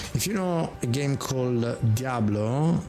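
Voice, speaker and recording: In an Italian accent, a man talks very slowly at a medium pitch with lively intonation. Noticeable background noise runs underneath. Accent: Italian accent, still noticeable. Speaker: game streamer. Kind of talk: live gameplay commentary. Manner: animated.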